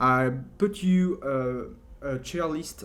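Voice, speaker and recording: With a French accent, a man talks at a very slow pace with ordinary pitch variation. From France. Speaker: video game tutorial creator. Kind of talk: tutorial. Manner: hesitant, many fillers.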